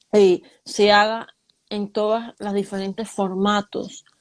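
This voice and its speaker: A woman speaks in a flat monotone. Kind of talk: casual talk show summary. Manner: slow, deliberate.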